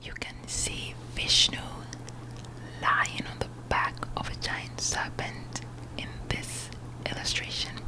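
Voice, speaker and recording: A woman whispering breathily at a very slow pace, with long, frequent pauses and noticeable background noise. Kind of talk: ASMR whispered book reading. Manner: whispered, breathy.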